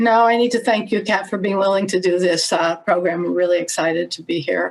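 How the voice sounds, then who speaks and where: Speaking at a fairly quick pace, a woman uses fairly even intonation. She has an American accent and a medium pitch. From United States. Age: 60s. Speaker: human rights advocate. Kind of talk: podcast interview.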